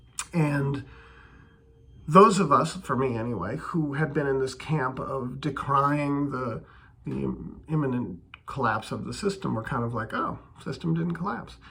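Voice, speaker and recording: In a room with audible echo, a man speaks fairly slowly with lively intonation and long, frequent pauses. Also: fairly high pitch for a man. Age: 50s. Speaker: video blogger on bitcoin and politics. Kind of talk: casual monologue. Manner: hesitant, with many fillers and repetitions.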